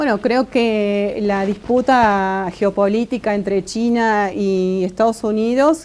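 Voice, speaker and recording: A woman at a medium pitch speaks very slowly with hardly any pauses, very even loudness, and ordinary pitch variation. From Argentina. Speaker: Mapuche academic. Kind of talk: interview. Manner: halting, many fillers and repeats.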